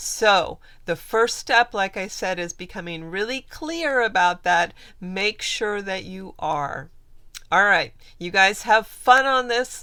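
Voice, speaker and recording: At a very slow pace, a woman speaks with a bright, sharp tone. Her loudness swings widely. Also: very clean recording, silent background. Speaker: manifestation coach. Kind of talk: video tutorial.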